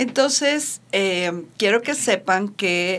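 Her intonation lively, a woman at medium pitch speaks at a very slow pace. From Mexico. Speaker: radio host. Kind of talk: casual chat.

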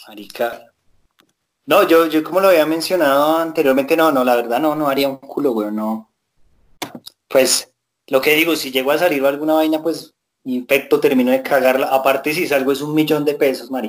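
Male speech in an unremarkable speaking voice, pitched fairly high, moderate in tempo, with ordinary pitch variation. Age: 20s. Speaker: podcast co-host. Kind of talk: casual chat.

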